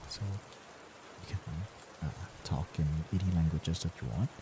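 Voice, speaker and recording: A soft-spoken man with a very deep, low pitch talks at a moderate pace. His pitch varies in an ordinary way. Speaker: VTuber streamer. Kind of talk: bedtime ASMR chat stream. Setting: lying in bed, live stream.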